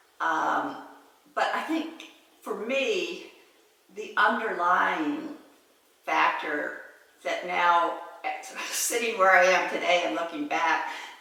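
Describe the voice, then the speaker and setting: A woman speaking at a very slow pace with long, frequent pauses amid noticeable background noise. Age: 70s. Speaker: podcast host, retired businesswoman. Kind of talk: casual podcast conversation.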